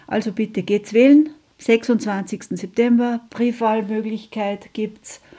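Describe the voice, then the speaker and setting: A woman speaks at a very slow pace with a fairly high pitch and fairly even intonation. Her tone is dark and mellow and somewhat breathy. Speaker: radio host, anti-nuclear activist. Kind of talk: radio magazine presentation, reading statements aloud.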